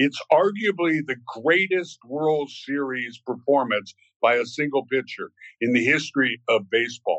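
A man with an American accent speaks in an unremarkable speaking voice, pitched fairly high. His intonation is lively and his pace moderate. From US South, Virginia. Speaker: actor. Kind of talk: casual chat.

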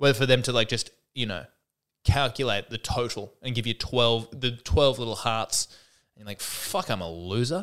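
A man with an Australian accent speaks at a moderate pace and medium pitch, with ordinary pitch variation and big swings in loudness, on a very clean recording with a silent background. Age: 30s. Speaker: stand-up comedian and podcast host. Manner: rambling, wry, stop-start with frequent restarts and self-corrections.

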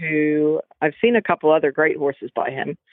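A woman talks at a moderate pace in a fairly low voice, her pitch varying in an ordinary way. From California. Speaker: professional event rider. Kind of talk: casual interview chat.

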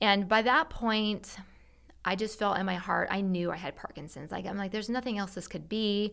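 A woman speaks in a plain, everyday voice at a moderate pace and a medium pitch. The recording is very clean, with a silent background. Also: ordinary pitch variation. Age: 40s. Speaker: marriage and family therapist. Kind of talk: casual chat.

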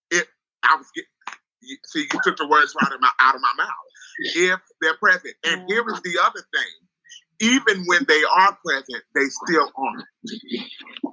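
A man at a moderate pace, with long, frequent pauses and a dry, close sound with no echo. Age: 30s. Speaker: panelist. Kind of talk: casual panel discussion. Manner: emotional.

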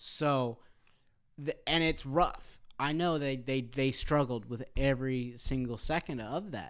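An unremarkable speaking voice: a man at medium pitch with ordinary pitch variation and a fairly slow pace. The recording is very clean, with a silent background. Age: 20s. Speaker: church member and stepfather. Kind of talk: casual chat. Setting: recording in a church.

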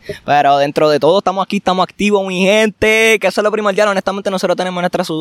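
Very fast speech from a man with a high voice comes through a dry, close sound with no echo. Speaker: athletics coach. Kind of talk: casual interview chat. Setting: outdoors at the beach.

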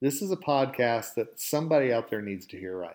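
With a slight Southern US accent, a man at medium pitch uses lively intonation in a very clean recording with a silent background. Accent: slight Southern drawl. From Oklahoma. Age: 50s. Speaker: podcast host. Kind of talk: motivational monologue.

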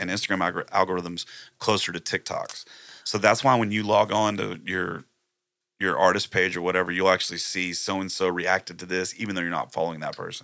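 On a very clean recording with a silent background, a man with a very deep, low pitch and a bright, sharp tone talks at a fairly quick pace with fairly even intonation. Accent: Texan. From Texas, Plum Grove near Houston. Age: 40s. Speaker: country musician. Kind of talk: casual chat. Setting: live-streamed podcast studio.

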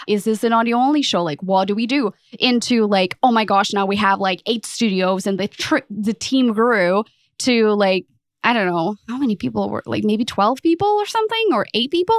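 A woman with a Portuguese accent speaks at a fairly high pitch and a moderate pace with ordinary pitch variation, in a very clean, dry, close recording with a silent background and no echo. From Portugal. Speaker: podcast consultant. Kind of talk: interview.

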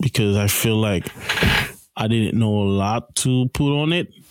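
A man at medium pitch speaking at a fairly slow pace, amid noticeable background noise. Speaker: podcast host. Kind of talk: interview.

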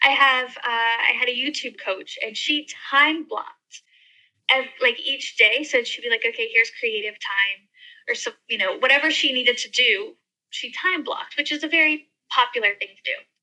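A woman's high-pitched, raised and projected voice in an American accent, bright and sharp in tone, with lively intonation. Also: moderate pace. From US, mountain region. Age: 30s. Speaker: travel blogger and YouTuber. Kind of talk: casual interview chat.

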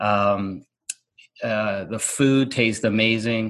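A man talks in an unremarkable speaking voice at a fairly low pitch. The background is quiet. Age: 50s. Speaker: podcast host. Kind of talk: interview.

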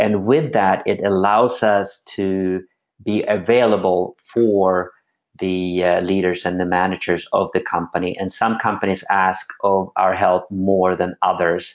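With a Swedish accent, a man speaks at a very deep, low pitch, with fairly even intonation and a fairly slow pace. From Sweden. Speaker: former pro skateboarder turned venture capitalist. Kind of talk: interview conversation.

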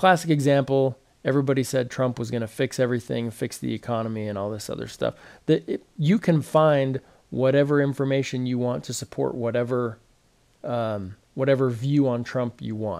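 A man of medium pitch at a moderate pace, with a plain, everyday voice. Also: ordinary pitch variation. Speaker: podcast host. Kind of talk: casual chat. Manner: self-deprecating, joking.

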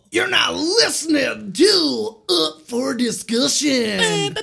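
A put-on character voice moves at a very slow pace. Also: man, extremely high pitch for a man. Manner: bubbly, over-the-top radio host.

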